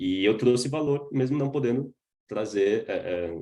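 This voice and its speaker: Medium in pitch with a dark, mellow tone, a man speaks with ordinary pitch variation. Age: 20s. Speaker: startup founder. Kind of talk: webinar talk. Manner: casual, filler-heavy.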